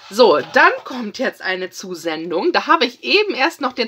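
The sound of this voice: At a moderate pace, a woman with a slightly husky edge and a fairly bright tone moves through big pitch swings.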